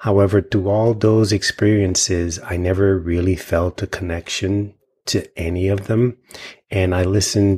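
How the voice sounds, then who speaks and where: A man with an American accent, fairly low in pitch and somewhat breathy, with a calm tone, fairly even intonation and a fairly slow pace, on a very clean recording with a silent background. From US Virgin Islands (St. Thomas). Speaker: intuitive healer. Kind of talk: interview conversation.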